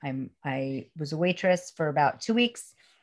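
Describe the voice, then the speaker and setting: Against a quiet background, a woman with a New York accent speaks in a very deep, low pitch. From Brooklyn, New York. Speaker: spiritual teacher and coach. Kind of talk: casual interview.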